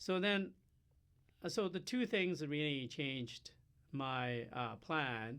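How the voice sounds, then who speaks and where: Very slowly, with long, frequent pauses, a man speaks in a fairly high voice with lively intonation. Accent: Chinese. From China. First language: Chinese. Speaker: professor. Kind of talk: interview. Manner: halting, many fillers.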